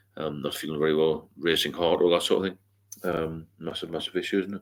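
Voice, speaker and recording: A man talks at a fairly quick pace. The recording is very clean and the background silent. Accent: American. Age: 60s. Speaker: sobriety mentor and livestreamer. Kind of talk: casual live Q&A. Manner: hesitant, many fillers.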